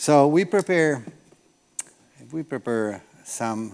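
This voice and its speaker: This man's intonation is lively. He has an Italian accent. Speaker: olive oil producer. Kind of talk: lecture.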